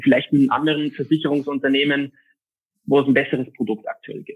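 This man has a plain, everyday voice with a fairly high pitch. His pitch variation is ordinary. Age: 20s. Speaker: insurance and finance advisor. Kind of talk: interview.

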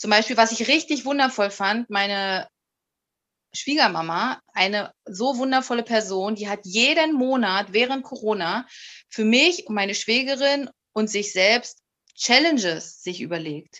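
With lively intonation and a bright, sharp tone, a woman speaks at a fairly slow pace. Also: fairly high pitch for a woman. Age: 30s. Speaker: corporate communications assistant. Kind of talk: casual interview chat.

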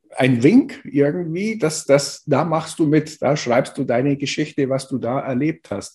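A man's voice carries a dark, mellow tone with ordinary pitch variation. It is somewhat breathy. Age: 50s. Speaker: co-author of an anthology. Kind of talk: interview. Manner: halting, many fillers.

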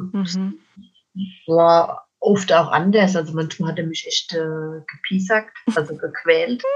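Fairly even intonation marks speech delivered at a very slow pace. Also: woman, fairly low pitch for a woman. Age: 50s. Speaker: children's book author and donkey coach. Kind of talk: interview about life story.

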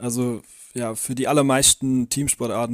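A man speaks in a Swabian accent at a moderate pace. His intonation is monotone and flat. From Swabia, near Calw. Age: 20s. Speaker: trainee teacher. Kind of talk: interview.

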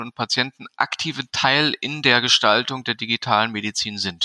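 Recorded with a dry, close sound and no echo, a man with an ordinary speaking voice talks at medium pitch with ordinary pitch variation. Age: 40s. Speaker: physician and medical association board member. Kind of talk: interview.

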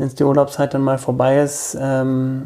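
An ordinary speaking voice from a man, medium in pitch, at a fairly slow pace. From rural Germany, village. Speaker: bookshop owner. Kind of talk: casual interview.

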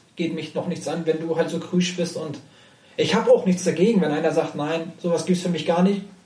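High-pitched male speech, its intonation fairly even. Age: 30s. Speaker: professional poker player. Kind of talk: casual interview chat. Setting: in person, sitting face to face.

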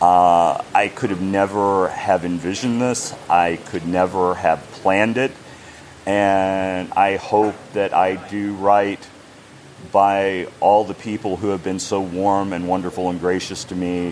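A man with an American accent speaks at a fairly slow pace in a very deep, low pitch. His intonation is monotone and flat, with noticeable background noise. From United States. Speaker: game company brand ambassador. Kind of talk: interview.

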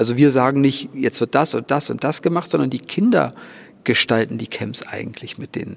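Here a man speaks at medium pitch with vocal fry. His pace is moderate and his pitch varies in an ordinary way. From Thuringia, Germany. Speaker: organist and charity founder. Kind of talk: interview. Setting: church.

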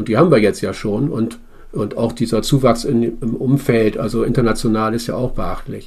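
His voice sits at a medium pitch and shifts in an ordinary way. The man keeps a moderate speed. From Bremen, northern Germany. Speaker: citizens' assembly member. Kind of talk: interview. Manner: halting.

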